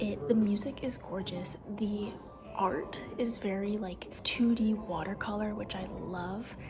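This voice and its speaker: Soft-spoken and fairly slow, a woman with an American accent talks at a medium pitch, with audible room echo and music in the background. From US Northwest (Oregon). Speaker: book vlogger. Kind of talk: casual vlog. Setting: home at night, others sleeping. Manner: quiet, soft-spoken; whispering.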